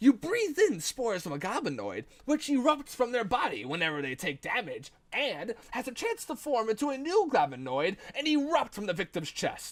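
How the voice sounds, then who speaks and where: In a put-on character voice with fairly high pitch, the speaker goes at a moderate pace. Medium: read story. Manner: smug, condescending.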